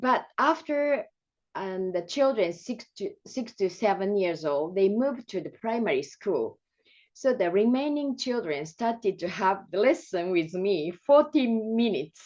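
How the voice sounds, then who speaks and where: With a Japanese accent, a woman speaks in a fairly high voice at a fairly slow pace. Her pitch swings very widely. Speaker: music and movement teacher. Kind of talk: presentation. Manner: halting.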